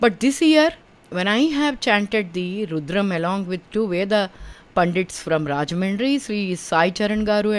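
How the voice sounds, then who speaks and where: A woman with an Indian accent speaks at a medium pitch. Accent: Indian English (Telugu). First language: Telugu. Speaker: spiritual teacher, podcaster. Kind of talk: personal testimony.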